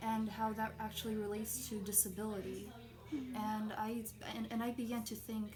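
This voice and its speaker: A woman speaks at a moderate pace with fairly high pitch, flat monotone intonation and very even loudness. Noticeable background noise and audible room echo surround her voice. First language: Portuguese. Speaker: college student. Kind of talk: personal narrative interview. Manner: halting, many repetitions and fillers.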